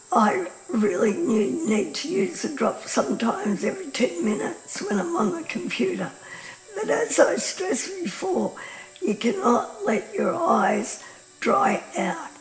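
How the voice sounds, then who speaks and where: Speaking at a fairly slow pace with an Australian accent, a woman is heard amid noticeable background noise and audible room echo. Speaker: patient advocate and presenter. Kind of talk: informal talk to camera. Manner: hesitant, many fillers.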